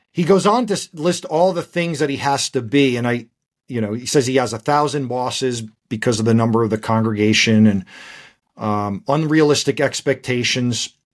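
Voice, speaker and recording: With ordinary pitch variation, a man talks at a moderate pace in an unremarkable speaking voice. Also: medium pitch for a man, very clean recording, silent background. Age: 40s. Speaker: podcast host and pastor. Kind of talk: casual chat.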